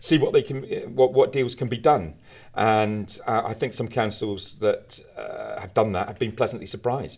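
Against a silent background on a very clean recording, a man speaks in a passionate, animated tone with big swings in loudness. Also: moderate pace. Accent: British. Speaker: campaigner, founder of anti-litter charity. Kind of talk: interview discussion.

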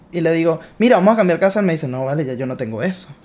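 Speaking very fast with a Venezuelan accent, a man uses ordinary pitch variation. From Venezuela (Caracas). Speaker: entrepreneur. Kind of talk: interview. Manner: animated.

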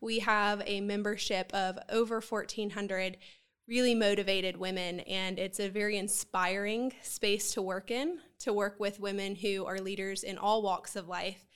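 On a very clean recording with a silent background, a woman speaks at a moderate pace with monotone, flat intonation. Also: medium pitch for a woman. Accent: Southern US. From Columbia, South Carolina. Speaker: nonprofit executive director. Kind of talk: interview.

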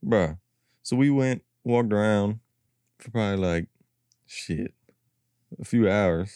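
Pausing long and often at a fairly slow pace, a man with an American accent speaks in a fairly low pitch with ordinary variation and a dark, mellow tone, in a dry, close sound with no echo and a very clean recording with a silent background. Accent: slightly country. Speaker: podcast co-host.

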